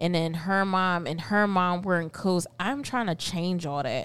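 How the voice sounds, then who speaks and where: A woman talks in a plain, everyday voice at a fairly slow pace. Her pitch is fairly low and her intonation fairly even. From Philadelphia, North Philly (born in Puerto Rico). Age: 30s. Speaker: podcast host, psychology student. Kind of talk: casual chat.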